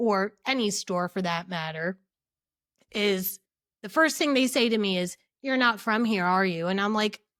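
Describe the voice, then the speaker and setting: In a very clean recording with a silent background, a woman with a strong New Jersey accent speaks in an animated tone with ordinary pitch variation. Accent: thick New Jersey. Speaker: podcast co-host. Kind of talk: casual chat.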